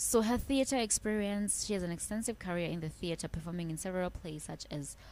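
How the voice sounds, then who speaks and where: A woman's voice with a South African accent. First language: Xhosa. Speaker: biography YouTuber. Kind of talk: casual video commentary. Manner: halting, self-correcting.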